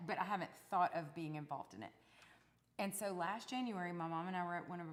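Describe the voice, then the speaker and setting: A woman with an East Texas accent, fairly low-pitched, at a fairly quick pace with ordinary pitch variation. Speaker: singer-songwriter. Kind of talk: casual chat.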